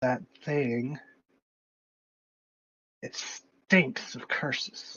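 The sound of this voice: A put-on character voice in a low-to-middle pitch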